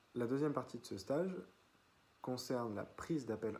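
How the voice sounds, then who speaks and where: Somewhat breathy and medium in pitch, a man's voice moves at a fairly slow pace. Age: 20s. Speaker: business student. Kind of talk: self-presentation video. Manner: hesitant, many fillers.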